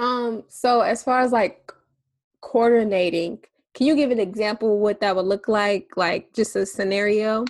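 A woman with a normal speaking voice, a fairly high pitch, ordinary pitch variation and a fairly slow pace. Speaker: podcast host, ministry founder. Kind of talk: casual interview.

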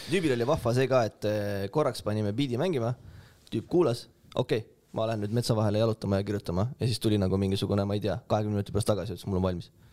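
A man's fairly low voice with a dark, mellow tone and ordinary pitch variation, on a very clean recording over a silent background. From Estonia, Tartu. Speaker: rapper. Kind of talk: casual chat. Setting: studio.

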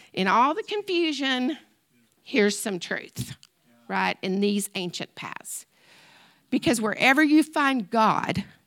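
A woman speaks loudly at a very slow pace, her pitch swinging very widely. The recording is very clean with a silent background, and the sound is dry and close with no echo. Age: 50s. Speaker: retiring math teacher sharing at church. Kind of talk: personal testimony in church.

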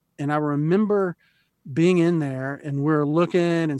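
A man speaks at a fairly slow pace in an American accent, with ordinary pitch variation and a fairly high pitch for a man. He has an ordinary speaking voice. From US South, Florida coast. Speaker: counselling center director and psychologist. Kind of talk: interview. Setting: video call.

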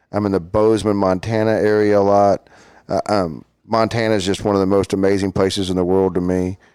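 A man with a Texan accent speaks at a fairly quick pace in a fairly low, dark, mellow voice, his intonation monotone and flat. His loudness stays very even on a very clean recording with a silent background. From Texas, Fort Worth. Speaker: amateur photographer and businessman. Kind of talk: casual interview. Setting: studio.

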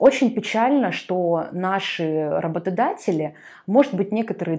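Dark, mellow tone with lively intonation. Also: woman. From Russian Far East, Artyom (Primorsky Krai). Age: 20s. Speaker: media expert and magazine editor. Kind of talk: podcast interview.

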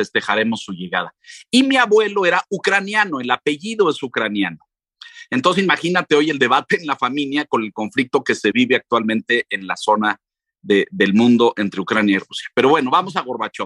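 A man speaks at a fairly high pitch in a bright, sharp tone, with very wide pitch swings and a fairly quick pace. The sound is dry and close with no echo. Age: 60s. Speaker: journalist and radio/TV presenter. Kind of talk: history lecture in radio interview.

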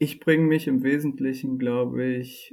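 A man's voice at a medium pitch. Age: 30s. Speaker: data scientist. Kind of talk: interview. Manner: hesitant, many filler sounds.

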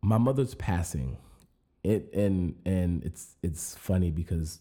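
With an American accent, a man speaks in a very deep, low voice that is somewhat breathy, with a dark, mellow tone and lively intonation. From rural Arizona. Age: 30s. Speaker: podcast host. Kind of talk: solo monologue. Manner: casual, many fillers and repetitions.

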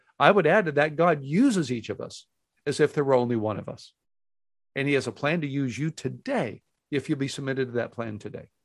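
A man talks at a fairly quick pace in a plain, everyday voice, his pitch fairly high. His pitch variation is ordinary, against a quiet background. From Texas, Houston. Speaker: pastor and author. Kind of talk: interview.

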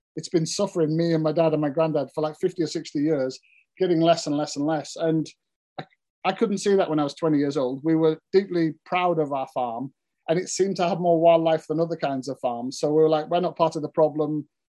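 A man's fairly high-pitched voice with a dark, mellow tone, at a fairly quick pace, in a Cumbrian accent. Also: fairly even intonation. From Cumbria, northern England. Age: 40s. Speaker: farmer and author. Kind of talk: interview.

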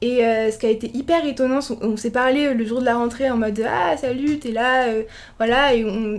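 A woman speaks with a high pitch and fairly even intonation. Her pace is moderate. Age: 20s. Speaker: law student. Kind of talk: casual interview. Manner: hesitant, many fillers.

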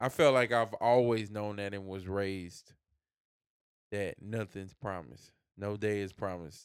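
Very clean recording with a silent background, featuring a man with an unremarkable speaking voice, fairly low pitch, ordinary pitch variation and moderate pace. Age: 30s. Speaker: podcast co-host. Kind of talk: casual chat.

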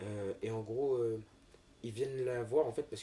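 Noticeable background noise surrounds this recording of a man. He speaks at a moderate pace in a medium pitch. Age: 20s. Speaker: professional dancer and model. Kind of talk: casual chat.

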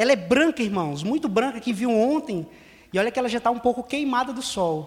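The man talks in an extremely high pitch with ordinary pitch variation. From Ceará, Brazil (Fortaleza). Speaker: missionary. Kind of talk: sermon. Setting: church.

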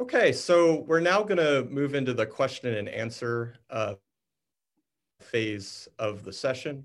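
In an ordinary speaking voice, a man talks at a fairly slow pace with a fairly high pitch. His intonation is lively, and the background is quiet. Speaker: panel moderator. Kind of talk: panel moderation. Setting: video call.

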